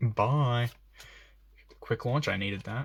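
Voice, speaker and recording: A man's medium-pitched voice with lively intonation, over noticeable background noise. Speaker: YouTuber opening trading card packs. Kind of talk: casual unboxing commentary. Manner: fast.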